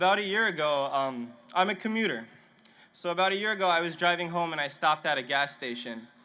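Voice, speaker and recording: A man talks at a very fast pace in a high voice with lively intonation and a bright, sharp tone. The room echo is audible. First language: Punjabi. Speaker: graduating student speaker. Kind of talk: commencement speech. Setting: stadium stage with audience. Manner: halting, some stammering restarts.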